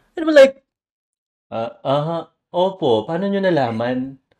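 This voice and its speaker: With very wide pitch swings, a man talks at a moderate pace in a fairly high pitch. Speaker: podcast host. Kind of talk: casual chat.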